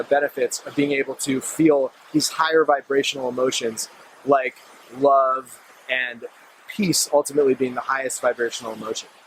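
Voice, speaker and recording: Over noticeable background noise, a man talks at a fairly quick pace in a dry, close sound with no echo. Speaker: meditation and self-help vlogger. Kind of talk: casual talk to camera. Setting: outdoors at sunset, filmed by a friend. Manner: fast.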